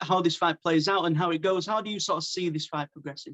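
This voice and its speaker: In a British accent, a man talks at a very fast pace with a high pitch and ordinary pitch variation. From UK. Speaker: MMA interviewer. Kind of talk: interview.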